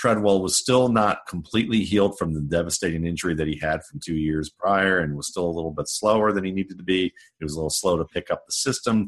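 Very fast talking with ordinary pitch variation against a quiet background. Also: man, very deep, low pitch for a man. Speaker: football scout and writer. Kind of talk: interview.

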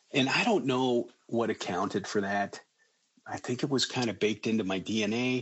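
This is an unremarkable speaking voice. Its speed is moderate, and its pitch varies in an ordinary way. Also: man, medium pitch for a man. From Colorado, near Boulder. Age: 50s. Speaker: school district administrator. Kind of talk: interview storytelling.

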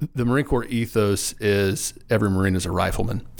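The speaker is a man with a Southern US accent. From Arkansas, Lonoke County. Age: 30s. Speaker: wildlife agency director. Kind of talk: interview.

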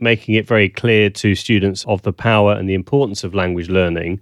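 A man with a southern British accent talks at a very fast pace, his pitch fairly low and his intonation fairly even. The sound is dry and close with no echo, set against a quiet background. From southern England. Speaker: language teaching consultant. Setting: video call.

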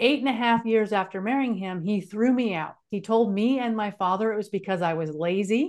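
In a normal speaking voice with an American accent, a woman talks at a fairly quick pace and fairly high pitch, with ordinary pitch variation, hardly any pauses and a quiet background. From California. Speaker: speaker and author. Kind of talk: interview storytelling.

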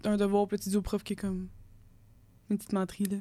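This woman speaks at a medium pitch and a fairly quick pace. Her intonation is monotone and flat. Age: 20s. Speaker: engineering student and podcast co-host. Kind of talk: casual chat.

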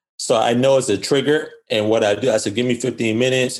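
This man has a plain, everyday voice at a medium pitch. He talks at a moderate pace. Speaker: fitness and nutrition coach. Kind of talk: casual interview.

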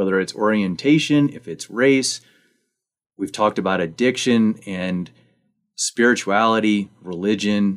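At a fairly slow pace, an unremarkable speaking voice shows ordinary pitch variation. The background is silent in this very clean recording. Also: man. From Missouri. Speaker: podcast host. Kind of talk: radio interview.

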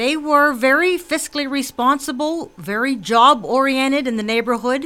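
In a Western Pennsylvania accent, a woman projects a raised, high-pitched voice with a bright, sharp tone. She keeps a moderate pace and ordinary pitch variation in a very clean recording with a silent background. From McKees Rocks, Pittsburgh area, Pennsylvania. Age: 60s. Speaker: political candidate. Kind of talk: radio interview. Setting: radio studio.

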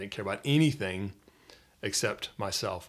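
A man with an American accent and a normal speaking voice, fairly low in pitch with ordinary pitch variation, at a fairly quick pace, on a very clean recording with a silent background. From US South, Metro Atlanta, Georgia. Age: 30s. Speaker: missionary. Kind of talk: casual interview, personal testimony.

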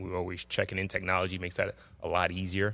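On a very clean recording with a silent background, a man with a New York accent talks at a very fast pace in a very deep, low voice with a bright, sharp tone. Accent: New York City. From Jamaica, Queens, New York City. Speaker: high school basketball coach. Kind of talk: casual interview. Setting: school gymnasium.

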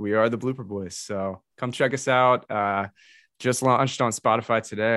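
Against a quiet background, a man with an American accent and an unremarkable speaking voice talks at a moderate pace, fairly low in pitch, with fairly even intonation. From US South, metro Atlanta, Georgia. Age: 20s. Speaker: podcaster and streamer. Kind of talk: casual chat.

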